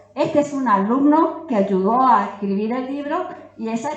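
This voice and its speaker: A woman at a fairly slow pace with lively intonation, plus audible room echo and noticeable background noise. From Corrientes, Argentina. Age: 80s+. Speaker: Guarani language teacher and author. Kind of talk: conference talk.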